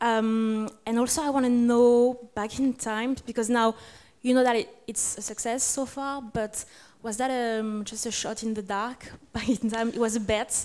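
A woman with a French accent speaks at a moderate pace in a fairly high pitch, her intonation monotone and flat. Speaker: interviewer. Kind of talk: interview. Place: hall. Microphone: handheld.

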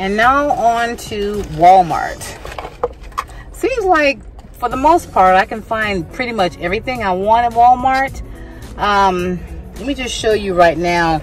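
A woman speaks at a fairly slow pace, leaving long, frequent pauses. The sound is dry with no echo, and faint music plays in the background. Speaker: home decor vlogger. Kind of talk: casual vlog chat. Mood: relaxed, pleased. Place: car. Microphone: phone near.

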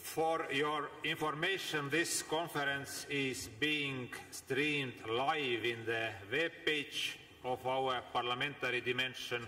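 With very even loudness and fairly even intonation, a man speaks at a very slow pace in a fairly high pitch. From Estonia. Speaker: parliamentary committee chair chairing a meeting. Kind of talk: formal meeting chairing. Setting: parliament plenary hall. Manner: formal. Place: hall. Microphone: podium.

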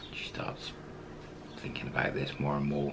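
A man's speech comes through with light background noise around it. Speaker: storyteller. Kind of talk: casual storytelling to camera.

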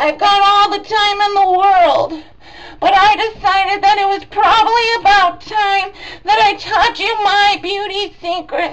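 A woman's put-on character voice, extremely high in pitch, with fairly even intonation and a fairly slow pace. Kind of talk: comic overacting. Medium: comedy sketch. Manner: rambling, repetitive, crude.

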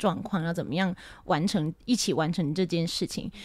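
In a very clean recording with a silent background, a woman talks at a medium pitch in a normal speaking voice. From Taiwan. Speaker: jazz singer and music teacher. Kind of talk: interview.

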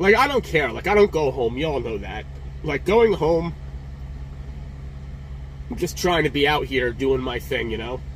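Over light background noise, a man talks at a moderate pace with long, frequent pauses. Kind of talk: casual vlog chat. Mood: frustrated, emotional. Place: car. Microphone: phone near.

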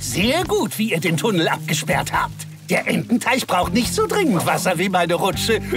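Loud music plays in the background. Over it, a man talks at a moderate pace. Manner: gleeful, bossy.

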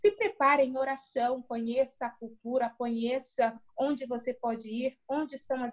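A woman speaks in a high pitch at a fairly slow pace. The background is quiet. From Brazil. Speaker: pastor and missionary; pastor. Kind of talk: interview. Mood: earnest, encouraging. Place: home room. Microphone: video call.

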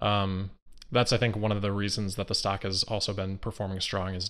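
Against a quiet background, a man with a fairly low pitch talks at a very fast pace in a monotone, flat intonation. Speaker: remote interview guest, investor commentator. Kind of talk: interview answer. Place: home room. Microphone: video call.

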